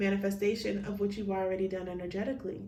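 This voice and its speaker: Audible room echo surrounds a woman speaking at a medium pitch with monotone, flat intonation. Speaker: tarot card reader. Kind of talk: pick-a-card tarot reading.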